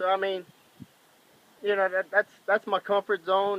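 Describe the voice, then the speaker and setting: A high-pitched man with a Cajun accent, his voice raised and projected, at a moderate pace, in a dry, close sound with no echo. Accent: Cajun Louisiana English. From Louisiana, New Iberia (Cajun). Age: 20s. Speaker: machinist and commercial fisherman. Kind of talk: casual self-introduction video. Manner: casual, hesitant with fillers.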